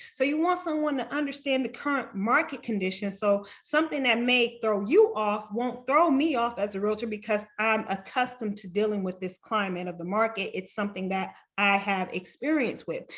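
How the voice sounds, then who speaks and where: A woman with an ordinary speaking voice talks at a moderate pace with hardly any pauses, her pitch fairly high and her intonation lively. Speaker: realtor. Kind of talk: webinar presentation.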